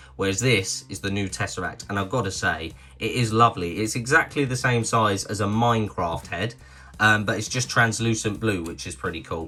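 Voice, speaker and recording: With a British accent, a man with a fairly low pitch and a bright, sharp tone speaks at a moderate pace, his intonation lively and marked by vocal fry. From Britain. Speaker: toy review youtuber. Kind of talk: product review. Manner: casual, chatty.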